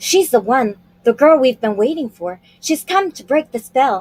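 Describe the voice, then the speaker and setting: A put-on character voice is performing. Its delivery keeps to a moderate speed. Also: woman, high pitch for a woman. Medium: read story.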